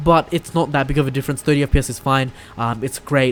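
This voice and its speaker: Over noticeable background noise, a man speaks at a very fast pace with a medium pitch. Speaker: gaming YouTuber. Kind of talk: solo video commentary. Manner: halting, many fillers and restarts.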